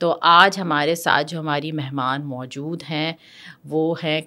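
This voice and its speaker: Her tone bright and sharp, a woman talks at a fairly slow pace. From Pakistan. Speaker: podcast host. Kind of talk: interview conversation. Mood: warm, polite. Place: studio. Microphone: studio mic.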